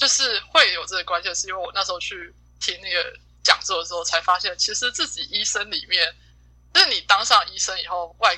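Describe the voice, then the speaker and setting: A woman talks at a fairly quick pace. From Taiwan. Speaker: exchange student. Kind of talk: casual chat.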